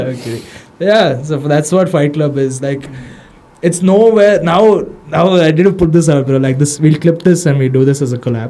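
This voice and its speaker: A man speaks with an Indian accent. His pitch varies in an ordinary way. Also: fairly high pitch for a man, moderate pace. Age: 20s. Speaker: social media manager for an MMA gym, podcast guest. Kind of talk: casual podcast conversation. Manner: casual, slangy.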